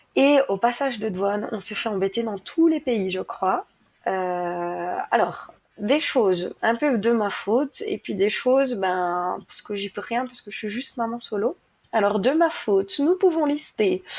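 A woman with an ordinary speaking voice, fairly high pitch, lively intonation, big swings in loudness, and a fairly slow pace, in a very clean recording with a silent background. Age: 30s. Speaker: traveling single mother. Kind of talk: casual interview.

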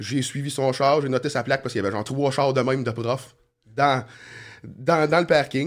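A man with a plain, everyday voice speaks at a fairly quick pace. His medium pitch shows ordinary variation. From Quebec, Sorel-Tracy area. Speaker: former criminal, asphalt business owner. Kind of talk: casual interview, life story.

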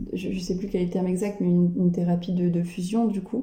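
A woman with a medium pitch and a dark, mellow, somewhat breathy tone speaks in a monotone, flat intonation, with audible room echo. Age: 20s. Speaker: person living with dissociative identity disorder. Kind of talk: interview testimony. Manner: halting. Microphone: poor sound quality.

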